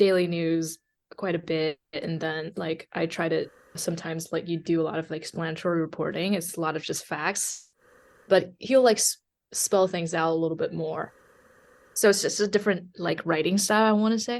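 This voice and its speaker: The background is quiet as a woman speaks with a Chinese accent. Her pitch is fairly low and her intonation fairly even. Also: moderate pace. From China (Hunan-born, raised in Guangzhou). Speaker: journalist. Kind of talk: interview. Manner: many fillers, halting.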